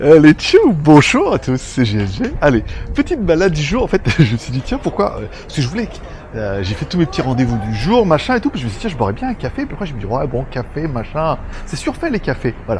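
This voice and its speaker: Over music in the background, a man with a fairly high pitch talks at a fairly quick pace, his pitch swinging very widely. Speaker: travel vlogger. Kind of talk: casual vlog. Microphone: volume raised by 3 dB, was too quiet.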